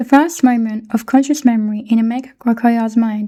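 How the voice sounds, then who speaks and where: The voice has a British accent, a dark, mellow tone and monotone, flat intonation. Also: woman. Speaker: book reader. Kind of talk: reading aloud.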